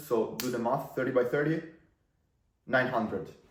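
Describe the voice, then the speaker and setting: A man's medium-pitched voice with audible room echo. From Italy. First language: Italian. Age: 20s. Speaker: marketing entrepreneur. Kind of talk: casual talking-head video. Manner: casual, filler-heavy.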